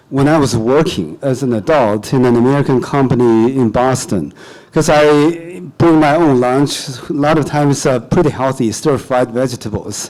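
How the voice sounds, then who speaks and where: A man speaks with a Chinese accent at a fairly high pitch. His pace is moderate, and his pitch variation is ordinary. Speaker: comedian. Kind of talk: panel discussion.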